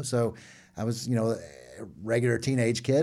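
This man has an American accent and a dark, mellow tone. He talks at a moderate pace. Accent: Southern US, slight now. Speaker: seminary dean, professor. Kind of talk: interview, casual and testimonial. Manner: animated, conversational.

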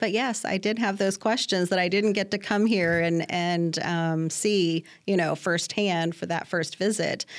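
Speaking in a plain, everyday voice at a medium pitch, a woman talks at a fairly slow pace with hardly any pauses, fairly even intonation and very even loudness on a very clean recording with a silent background. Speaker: cancer research scientist. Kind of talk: interview. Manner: frequent fillers (um).

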